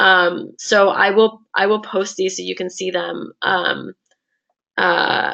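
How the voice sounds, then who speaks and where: This is a woman's voice. It has vocal fry. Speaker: law exam prep instructor. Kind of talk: lecture. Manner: hesitant, many fillers.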